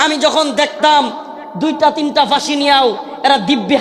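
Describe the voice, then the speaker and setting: A man bellows at an extremely high pitch. Noticeable background noise sits behind him. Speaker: Islamic preacher. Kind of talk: religious sermon at a large gathering. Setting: live outdoor religious gathering. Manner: fiery, roaring.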